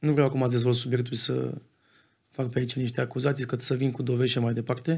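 Against a quiet background, a somewhat breathy man speaks very fast with fairly even intonation. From Romania. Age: 20s. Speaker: football club co-owner; podcast guest. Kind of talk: casual interview. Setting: studio. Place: studio. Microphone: studio mic.

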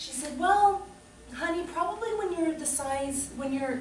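Room echo is audible as a woman talks at a moderate pace. Background noise is noticeable. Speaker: solo storyteller. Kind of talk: comic monologue performance. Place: stage. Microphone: camera far.

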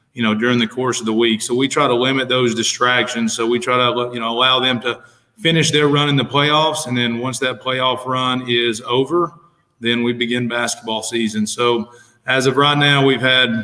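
A man's monotone, flat delivery at a moderate pace against a quiet background. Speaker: high school basketball coach. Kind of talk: interview answer. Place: home room.

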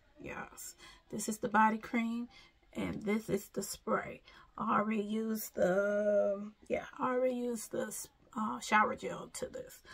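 A woman talks at a fairly slow pace in a somewhat breathy voice with monotone, flat intonation. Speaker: beauty vlogger. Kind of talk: casual vlog chat. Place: home room. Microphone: phone near.

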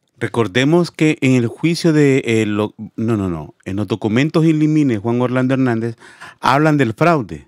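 Against a quiet background, a man with lively intonation talks at a fairly slow pace in a dry sound with no echo. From Honduras. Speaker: news show host. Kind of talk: live stream commentary. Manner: animated.

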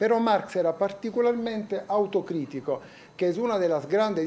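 Light background noise under a man's high-pitched voice at a moderate pace. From Italy. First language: Italian (speaking Spanish). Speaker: professor. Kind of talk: lecture. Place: classroom.

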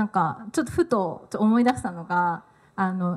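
Lively intonation and a somewhat breathy sound come through in this woman's voice. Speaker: talk show facilitator. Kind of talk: panel talk moderation. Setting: live event with audience. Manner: frequent filler words, halting. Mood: cheerful, smiling. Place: hall. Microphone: handheld.

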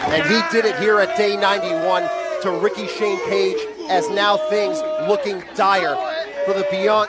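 Over crowd noise in the background, a man speaks at a fairly slow pace with very wide pitch swings, in a dry sound with no echo. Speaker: wrestling commentator. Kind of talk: wrestling commentary. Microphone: headset.

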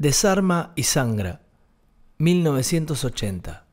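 A man's dark, mellow tone over a quiet background. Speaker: essay narrator. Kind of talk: literary essay narration, read aloud from a script. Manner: measured, reflective, formal. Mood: calm, reflective. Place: studio. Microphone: studio mic.

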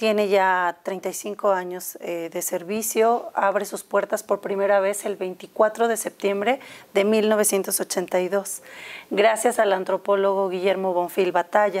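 A woman speaks very slowly at a medium pitch, her intonation flat and monotone. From Mexico. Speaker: museum educator. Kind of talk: studio interview. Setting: studio. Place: studio. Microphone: lapel.

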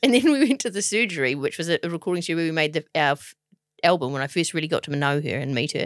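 A woman with a New Zealand accent speaks very fast at a fairly low pitch, her intonation lively and the sound dry and close with no echo. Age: 40s. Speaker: podcast co-host, TV presenter. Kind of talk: casual chat.

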